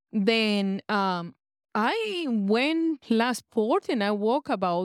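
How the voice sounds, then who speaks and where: With a non-native accent, a woman speaks at a fairly high pitch with lively intonation, recorded very cleanly against a silent background with a dry, close sound and no echo. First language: not English. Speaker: cruise passenger, hypnosis seminar attendee. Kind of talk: testimony. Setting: on a cruise ship.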